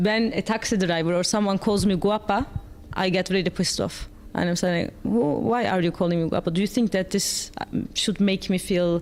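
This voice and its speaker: In a Turkish accent, a woman talks at a moderate pace and medium pitch, with fairly even intonation and very even loudness. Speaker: panel moderator. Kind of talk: panel discussion.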